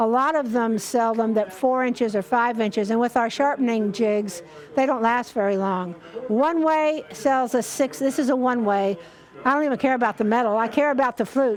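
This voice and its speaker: Against noticeable background noise, a woman with a fairly high pitch speaks with ordinary pitch variation and very even loudness. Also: moderate pace. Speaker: woodturning demonstrator. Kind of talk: live demonstration.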